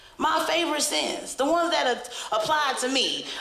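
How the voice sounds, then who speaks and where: Amid noticeable background noise and audible room echo, a woman speaks in an animated tone at a moderate pace. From Brooklyn, New York. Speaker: stand-up comedian. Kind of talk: stand-up. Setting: stage with audience.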